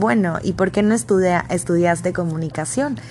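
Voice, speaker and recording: Fairly quick speech in a Mexican accent, with noticeable background noise. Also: woman. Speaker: podcaster. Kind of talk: personal monologue.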